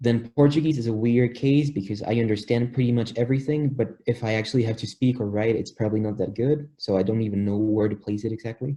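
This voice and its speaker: Speaking at a very fast pace with a Spanish accent, the voice has a dark, mellow tone, is somewhat breathy, and keeps fairly even intonation. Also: man, medium pitch for a man. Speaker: polyglot, language learner. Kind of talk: interview.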